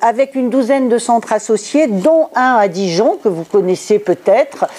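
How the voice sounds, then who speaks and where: Noticeable background noise runs under this recording. A woman speaks at a fairly slow pace. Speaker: sociologist giving a conference talk. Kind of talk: lecture. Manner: hesitant, many filler sounds.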